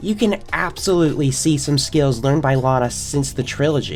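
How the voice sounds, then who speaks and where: There is noticeable background noise behind speech delivered at a moderate pace. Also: woman. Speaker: film reviewer. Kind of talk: video essay film review.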